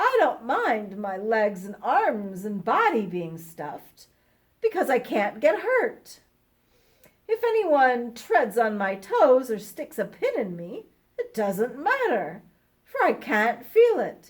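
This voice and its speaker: This is a put-on character voice with a husky sound. It moves at a fairly slow pace. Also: woman, high pitch for a woman. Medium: read story. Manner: polite, gentle.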